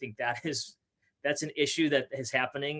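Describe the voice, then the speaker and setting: In an ordinary speaking voice with an American accent, a man keeps a fairly high pitch and fairly even intonation, recorded with a dry, close sound with no echo. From Minnesota, US (Fridley). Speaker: youth pastor and speaker. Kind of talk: interview conversation.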